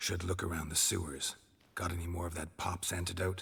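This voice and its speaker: A man puts on a character voice, raspy and very deep in pitch. He talks at a fairly quick pace. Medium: video game. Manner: terse, low, deadpan.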